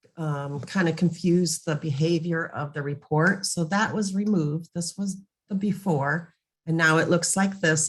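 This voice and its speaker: A woman with a very deep, low pitch speaks somewhat breathily at a fairly slow pace, with ordinary pitch variation. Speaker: software trainer. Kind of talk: webinar presentation. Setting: online meeting.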